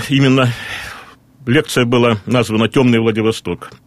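Speech at a moderate pace with a dry, close sound and no echo. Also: man. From Russian Far East, Vladivostok. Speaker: regional historian. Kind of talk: radio interview. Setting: studio.

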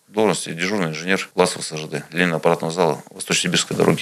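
This man talks at a very fast pace. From Tulun, Irkutsk region, Siberia. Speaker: regional legislator, businessman. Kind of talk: interview.

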